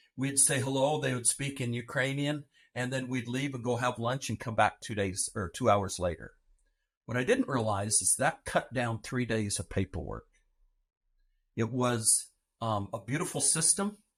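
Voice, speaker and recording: A man's somewhat breathy voice at a medium pitch and moderate pace, with ordinary pitch variation, on a very clean recording with a silent background. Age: 60s. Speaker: adoptive father. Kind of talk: interview testimony.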